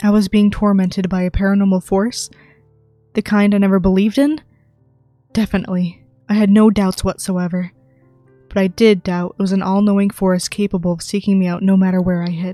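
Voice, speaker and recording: With music in the background, a woman of medium pitch speaks in a monotone, flat intonation at a fairly quick pace with long, frequent pauses, in a dry, close sound with no echo. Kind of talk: ASMR creepypasta reading, first-person horror narration.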